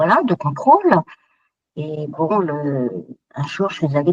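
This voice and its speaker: A woman with a very deep, low pitch and ordinary pitch variation speaks at a fairly slow pace in a dry, close sound with no echo. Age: 70s. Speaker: breast cancer survivor. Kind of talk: testimony. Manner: halting.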